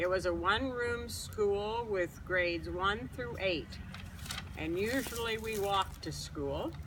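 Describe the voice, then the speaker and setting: A woman's voice comes with audible room echo. Noticeable background noise is also present. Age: 70s. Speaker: retired teacher. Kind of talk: personal life story.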